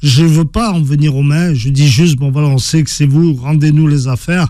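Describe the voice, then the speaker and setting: Fairly high in pitch, this man's voice has a dark, mellow tone. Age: 50s. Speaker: author and former professional boxer. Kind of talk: interview. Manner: halting, many repetitions.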